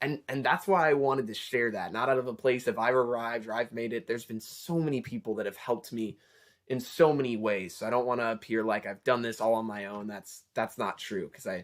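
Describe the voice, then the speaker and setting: A plain, everyday voice from a man at medium pitch, fairly quick in pace, with ordinary pitch variation on a very clean recording with a silent background. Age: 20s. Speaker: college student vlogger. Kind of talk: casual advice talk.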